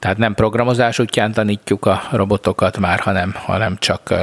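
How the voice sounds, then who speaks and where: In a dry, close sound with no echo, a man speaks at a moderate pace in a fairly low pitch with a monotone, flat intonation. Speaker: podcast co-host. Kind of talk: casual chat. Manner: stammering, repeats words.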